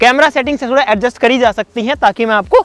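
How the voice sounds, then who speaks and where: At a fairly quick pace, a man speaks in an extremely high pitch with ordinary pitch variation and a dry, close sound with no echo. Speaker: YouTuber doing science experiments. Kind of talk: casual vlog commentary. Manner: animated.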